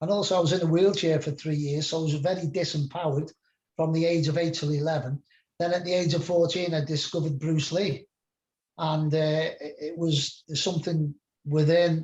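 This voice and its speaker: This man talks at a moderate pace with a Liverpool accent, his intonation flat and monotone. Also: fairly high pitch for a man. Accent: English, Liverpool area. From England, Merseyside near Liverpool. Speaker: spiritual mentor and musician. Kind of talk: casual interview chat.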